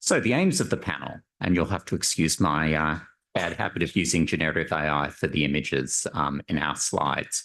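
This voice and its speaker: With an Australian accent, a man speaks at a moderate pace in a very deep, low pitch with ordinary pitch variation. The background is quiet. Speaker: panel moderator, survey methodologist. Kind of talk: conference panel moderation. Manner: frequent filler words, hesitant.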